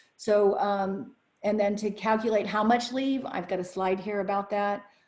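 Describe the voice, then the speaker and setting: A woman speaks with a medium pitch and ordinary pitch variation. Her voice is somewhat breathy. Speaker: business lawyer presenting a webinar. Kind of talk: webinar presentation. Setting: online webinar broadcast. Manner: fast.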